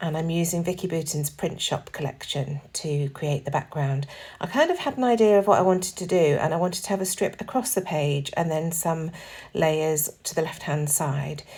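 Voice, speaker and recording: With a fairly low pitch, a somewhat breathy woman talks at a moderate pace with ordinary pitch variation, on a very clean recording with a silent background. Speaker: scrapbooking crafter. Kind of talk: tutorial. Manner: casual.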